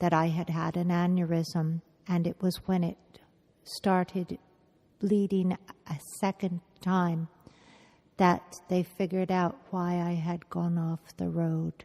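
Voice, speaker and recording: At a very slow pace, a woman speaks in a dark, mellow tone with monotone, flat intonation and a dry, close sound with no echo. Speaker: brain injury survivor. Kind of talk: oral history interview.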